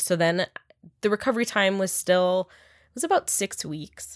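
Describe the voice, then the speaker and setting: In a very clean recording with a silent background and a dry, close sound with no echo, a woman has an unremarkable speaking voice at medium pitch with ordinary pitch variation. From Upper Michigan. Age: 30s. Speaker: breast cancer survivor. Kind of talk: interview.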